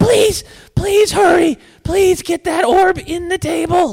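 In a put-on character voice, a man speaks at a fairly slow pace with an extremely high pitch. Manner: pleading, urgent.

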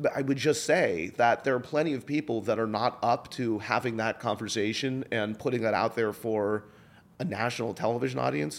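In a very clean recording with a silent background, a man speaks with vocal fry and lively intonation. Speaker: podcast host and producer. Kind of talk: interview.

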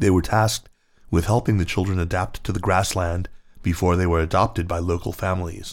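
A man speaks in a very deep, low voice with ordinary pitch variation. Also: fairly quick pace, very clean recording, silent background. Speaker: narrator reading an article aloud. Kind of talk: history documentary narration, solemn and measured, reading a written article. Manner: grave, even-paced and formal, with a sombre storytelling tone.

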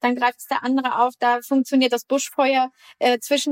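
A woman speaks at a high pitch. The sound is dry and close with no echo. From northern Germany (Bremen). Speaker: winemaker. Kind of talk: interview.

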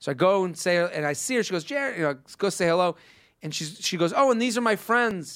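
A man with an American accent talks at a fairly quick pace in an animated tone with lively intonation, captured in a very clean recording with a silent background. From Massachusetts. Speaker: podcast host and comedian. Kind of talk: casual comedic chat, reading listener emails. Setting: studio.

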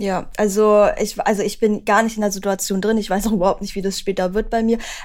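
The recording features a natural reading voice.

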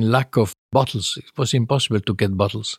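In an Italian accent, a man speaks on a very clean recording with a silent background, the sound dry and close with no echo. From northern Italy. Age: 80s+. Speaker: winemaker. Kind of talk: interview.

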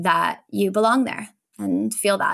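A woman talks at a moderate pace, her pitch medium, in a plain, everyday voice. The recording is very clean, with a silent background. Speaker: community manager. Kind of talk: casual interview chat.

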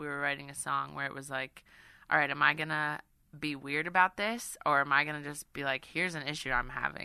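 A woman talks with a very deep, low pitch and vocal fry. Her tone is bright and sharp, and her pace is fairly quick. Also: ordinary pitch variation, quiet background. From New York City. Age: 20s. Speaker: singer-songwriter. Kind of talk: interview. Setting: studio.

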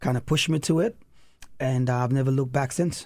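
A somewhat breathy man of medium pitch with a Saint Lucian accent, at a moderate pace, on a very clean recording with a silent background. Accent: Saint Lucian Caribbean English. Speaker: elementary school principal. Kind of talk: casual chat.

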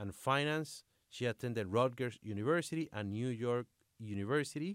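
The speech comes at a fairly slow pace with a Spanish accent and ordinary pitch variation. The sound is dry and close with no echo, on a very clean recording over a silent background. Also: man. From Dominican Republic. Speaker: sports podcast host. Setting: studio. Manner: halting in English.

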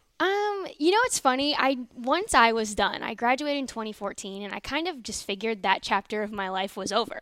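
A plain, everyday voice moves at a fairly quick pace. The intonation is lively. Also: woman, fairly high pitch for a woman. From Northern Virginia, DC area. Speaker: sports reporter, former college gymnast. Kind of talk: casual interview chat.

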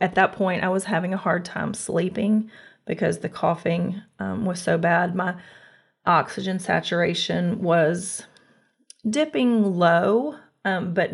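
A woman with an American accent speaks at a fairly slow pace and fairly low pitch, with vocal fry. The background is quiet. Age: 40s. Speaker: COVID long hauler. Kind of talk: interview. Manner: halting.

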